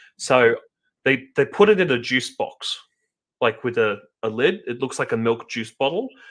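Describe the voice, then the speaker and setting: An Australian-accented man talks at a moderate pace, broken by long, frequent pauses. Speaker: podcast host. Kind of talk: casual chat.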